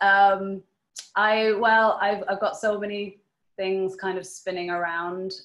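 A woman speaks at a very slow pace. There is audible room echo, and the background is quiet. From Ireland, Sligo; Ireland. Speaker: knitwear designer. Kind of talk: webinar presentation; Q&A answers. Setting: video call. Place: home room. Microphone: webcam.

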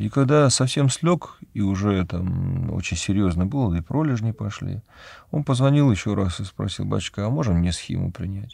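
Heard over a quiet background, a man with a fairly low pitch and a dark, mellow tone makes very wide pitch swings. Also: moderate pace, dry sound with no echo. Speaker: Orthodox priest. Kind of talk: religious talk answering a viewer question, personal anecdote. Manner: calm, conversational, explanatory. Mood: calm, reflective. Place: studio.

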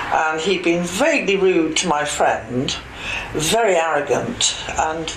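A woman speaks with a fairly low pitch and ordinary pitch variation. Noticeable background noise runs under her voice. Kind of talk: interview answer. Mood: amused, anecdotal, laughing. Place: office.

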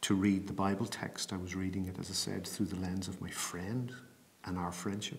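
Very deep and low in pitch, a man speaks in an Irish accent. He keeps a moderate pace with fairly even intonation. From Bray, County Wicklow, Ireland. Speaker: programme manager for public theology. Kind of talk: interview answer. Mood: calm, thoughtful, personal. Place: home room.

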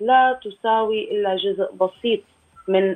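A woman talks with fairly even intonation. Nothing can be heard behind her. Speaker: guest. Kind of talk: interview answer. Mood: serious, concerned. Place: home room. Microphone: video call.

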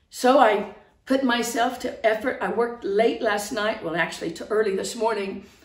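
Audible room echo surrounds a woman with an American accent who talks at a moderate pace with a fairly high pitch and ordinary pitch variation. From outside the United States. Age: 60s. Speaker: online preacher. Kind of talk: sermon. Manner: earnest, impassioned. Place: home room. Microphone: phone near.

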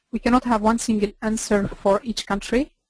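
This woman has a normal speaking voice with a fairly high pitch and fairly even intonation. The sound is dry with no echo, and the background is quiet. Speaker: energy policy expert. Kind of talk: webinar presentation. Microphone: video call.

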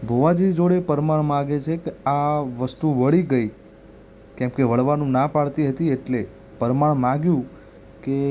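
A man's fairly high-pitched voice with a dark, mellow tone and fairly even intonation. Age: young. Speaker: YouTube devotional channel host. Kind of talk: explainer talk to camera.

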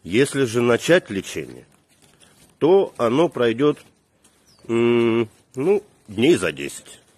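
A man speaks, the sound dry with no echo. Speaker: comic short-video creator. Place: street. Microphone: phone near.

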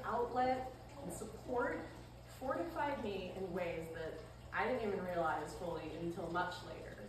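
A woman at a moderate pace, with audible room echo and clear background noise

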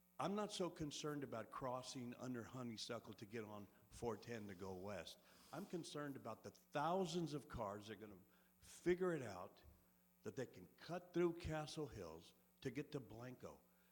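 A man's medium-pitched voice with very wide pitch swings, at a moderate pace. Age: 60s. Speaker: resident speaking at public comment. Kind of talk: public comment at city council meeting. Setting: city council meeting. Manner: earnest, somewhat halting.

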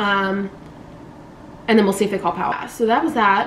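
Light background noise underlies the audible room echo around this woman's voice. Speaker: vlogger. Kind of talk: casual vlog chat. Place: home room. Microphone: camera far.

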